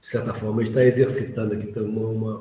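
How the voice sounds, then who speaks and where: There is audible room echo as a man talks. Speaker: course instructor. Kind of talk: online lecture. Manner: slow; halting.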